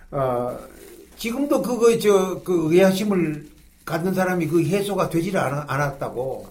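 The man's voice is high in pitch, with lively intonation and a very slow pace. Audible echo fills the room. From Gyeongsang region, South Korea (Gyeongju, Pohang). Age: 80s+. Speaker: retired pastor. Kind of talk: interview storytelling.

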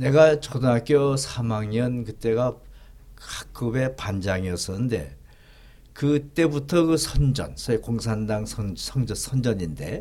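Speaking at a very slow pace, a man uses a medium pitch and lively intonation. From North Korea (Gangwon, Tongcheon). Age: 80s+. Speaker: pastor and theologian. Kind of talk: interview, life story.

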